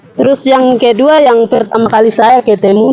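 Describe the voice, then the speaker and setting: A woman is speaking. Music can be heard in the background. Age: 20s. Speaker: student, training participant. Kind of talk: reading aloud a written self-introduction. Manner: halting.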